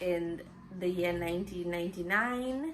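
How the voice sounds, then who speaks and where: A woman's voice with audible room echo. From Trinidad, San Fernando. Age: 30s. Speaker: talk show host. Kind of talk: personal bio monologue.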